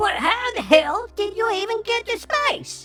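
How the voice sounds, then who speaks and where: A put-on character voice, squeaky and extremely high in pitch, comes at a moderate pace. Clear music sounds in the background. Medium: read story. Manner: blunt, questioning.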